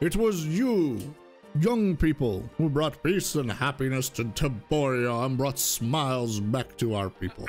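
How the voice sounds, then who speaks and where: Clear music plays in the background as a put-on character voice talks at a fairly slow pace with a low-to-middle pitch. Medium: virtual streamer. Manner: warm, regal, gracious.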